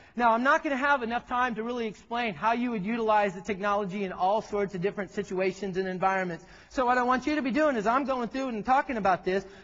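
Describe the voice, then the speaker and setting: A man with a high voice talks at a very fast pace with hardly any pauses, sounding animated, his pitch varying in an ordinary way. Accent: Texan. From Texas. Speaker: tech presenter. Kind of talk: keynote presentation. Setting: stage with audience.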